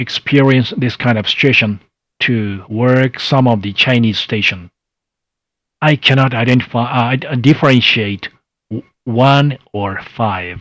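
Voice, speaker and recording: Here is a man in a Japanese accent. His pitch varies in an ordinary way. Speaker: amateur radio contest presenter. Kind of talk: online workshop presentation. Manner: halting, many fillers.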